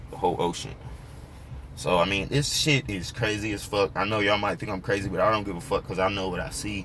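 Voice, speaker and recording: Very fast speech from a man, his pitch moving in an ordinary way. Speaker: YouTuber discussing fringe history. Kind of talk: casual vlog monologue. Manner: freewheeling, halting with repetitions.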